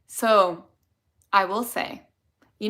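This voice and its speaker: In a Chicago accent, a woman speaks with a bright, sharp tone and ordinary pitch variation. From Chicago area, US Midwest. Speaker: dental hygienist, video creator. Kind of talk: live stream Q&A, casual chat. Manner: animated.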